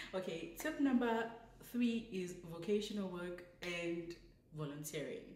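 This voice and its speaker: A woman with a fairly low pitch speaks very slowly in a somewhat breathy voice, her intonation lively, with audible room echo. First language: not English. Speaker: vlogger, law graduate. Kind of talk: casual advice vlog. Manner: chatty, self-correcting.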